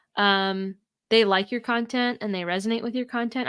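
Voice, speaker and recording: The recording is very clean, with a silent background. A woman speaks at a fairly quick pace with fairly even intonation. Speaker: food scientist and blogger, business owner. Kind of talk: interview, casual chat. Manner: loud.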